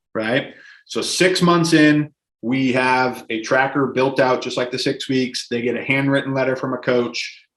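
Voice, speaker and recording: A man with an unremarkable speaking voice keeps a medium pitch and fairly even intonation at a moderate speed. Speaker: gym owner. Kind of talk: podcast interview.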